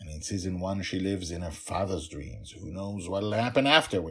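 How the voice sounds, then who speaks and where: Somewhat breathy, a man speaks with ordinary pitch variation in a very clean recording over a silent background. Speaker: fantasy author reading own serialized story. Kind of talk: podcast intro and storytelling. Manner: casual, chatty.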